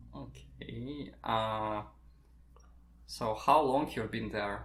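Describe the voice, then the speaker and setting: In a room with audible echo, a man with a Russian accent speaks very slowly at a fairly low pitch. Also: lively intonation. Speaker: podcast host. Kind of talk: interview. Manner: halting.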